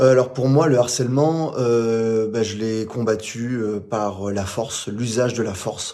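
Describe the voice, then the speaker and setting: This man has a dark, mellow tone at medium pitch. His intonation stays fairly even. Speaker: former elite police officer and actor. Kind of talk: remote interview. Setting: remote call. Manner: stutter; hesitant, many fillers.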